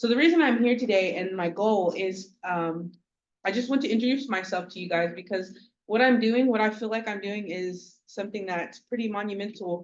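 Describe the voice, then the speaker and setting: At a moderate pace, a woman with an American accent speaks at medium pitch with ordinary pitch variation in an unremarkable speaking voice. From Oklahoma, Okmulgee area. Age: 20s. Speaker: pageant contestant. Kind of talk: speech introducing herself at a community meeting. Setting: community meeting.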